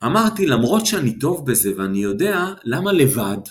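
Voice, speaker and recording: In an ordinary speaking voice, a man talks fairly slowly at a medium pitch. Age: 50s. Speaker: business coach and retired army officer. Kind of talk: interview.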